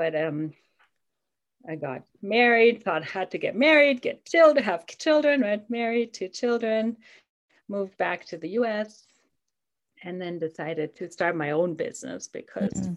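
A woman talks at a moderate pace, her pitch swinging very widely, with long pauses coming often. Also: medium pitch for a woman. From Germany. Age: 50s. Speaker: life coach. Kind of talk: podcast interview.

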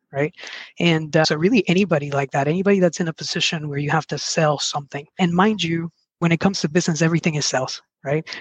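A man in a Spanish accent, fairly high in pitch, at a very fast pace with fairly even intonation, in a dry, close sound with no echo. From Mexico, then southwest Virginia from age 11. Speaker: sales and service trainer. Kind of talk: interview conversation.

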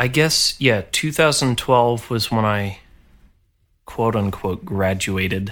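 A man with an American accent at a very slow pace, on a very clean recording with a silent background. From upstate New York, Poughkeepsie area. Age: 30s. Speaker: orchestral trombonist. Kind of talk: casual interview chat. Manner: halting, many fillers and repetitions.

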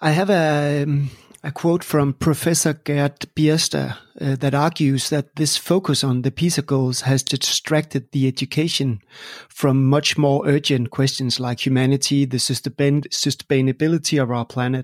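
A man with a Danish accent, fairly high pitch, fairly slow pace, fairly even intonation and very even loudness, dry and close with no echo on a very clean recording with a silent background. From Denmark. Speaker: podcast host. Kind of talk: interview; scripted intro.

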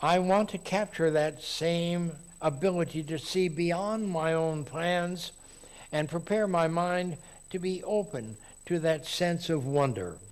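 A man with a high pitch speaks at a very slow pace amid audible room echo. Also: ordinary pitch variation. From Texas. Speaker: lay preacher at a Unitarian congregation. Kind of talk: sermon.

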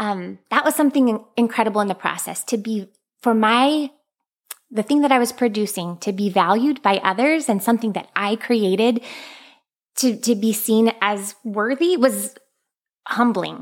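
A woman talks at a moderate pace with a fairly high pitch and ordinary pitch variation. Her tone is animated. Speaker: author and teacher. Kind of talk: casual interview chat. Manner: animated, laughs often.

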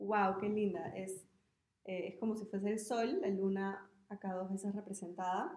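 The delivery is fairly slow. Monotone, flat intonation holds throughout. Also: woman, medium pitch for a woman. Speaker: podcast co-host. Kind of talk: casual chat.

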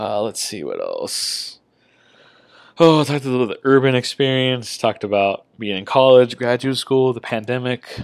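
With a Californian accent and a relaxed tone, a man speaks at a moderate pace and medium pitch, his intonation fairly even but his loudness swinging widely. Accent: Californian American English. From Southern California (Palm Springs). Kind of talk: casual monologue. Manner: relaxed, with many fillers.

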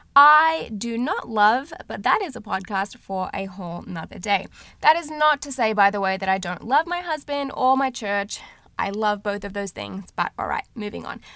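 A woman with an American accent speaks at a moderate pace in a bright, sharp, fairly high voice. Her tone is animated, her intonation lively, and her loudness swings widely. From Australia. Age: 30s. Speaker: podcast host. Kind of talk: solo podcast introduction.

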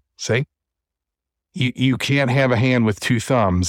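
Here a man speaks at a moderate pace, his pitch medium. The recording is very clean, with a silent background and a dry, close sound with no echo. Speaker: VR podcast host. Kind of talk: casual chat. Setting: virtual reality studio livestream. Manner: loud.

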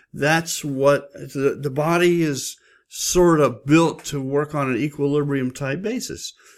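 A man speaks in a plain, everyday voice at a fairly high pitch. His pace is fairly slow, with ordinary pitch variation. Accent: American. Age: 60s. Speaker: nurse and health and safety podcaster. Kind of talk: solo educational podcast talk. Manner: conversational, informal, with fillers.

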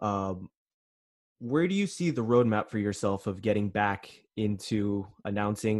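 With a plain, everyday voice, a man speaks at a fairly low pitch and a moderate pace over a quiet background. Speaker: podcast host. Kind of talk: casual interview chat.

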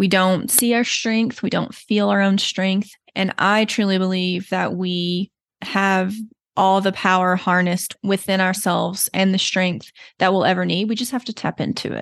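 At a moderate pace and medium pitch, a woman with a slight Southern US accent speaks with fairly even intonation against a quiet background. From Texas. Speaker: therapist and podcast host. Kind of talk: solo podcast introduction monologue. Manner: reflective, earnest.

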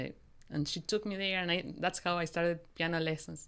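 With a Spanish accent, a woman talks in a fairly low pitch. Her pitch variation is ordinary, and the recording is very clean with a silent background. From Argentina, Mendoza. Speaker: opera conductor and pianist. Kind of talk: interview. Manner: halting.

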